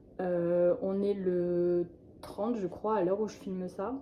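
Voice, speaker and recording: A woman is speaking. Her pitch is medium. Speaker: vlogger. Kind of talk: vlog monologue. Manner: slow; hesitant, many fillers.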